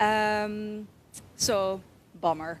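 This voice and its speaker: Medium in pitch, a woman talks with a Dutch accent. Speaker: hair braider and shop owner. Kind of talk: live stream interview.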